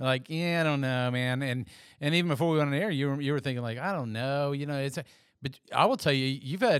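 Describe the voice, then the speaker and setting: The man's fairly high voice rushes along at a very fast pace with ordinary pitch variation, in a very clean recording with a silent background. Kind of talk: casual chat. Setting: studio.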